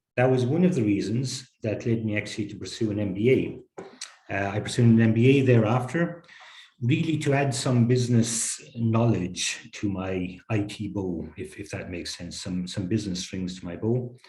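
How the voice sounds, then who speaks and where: A man with an Irish accent speaks at a moderate pace and medium pitch, his dark, mellow tone somewhat breathy, with ordinary pitch variation and audible room echo. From Ireland. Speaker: technology executive. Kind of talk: interview.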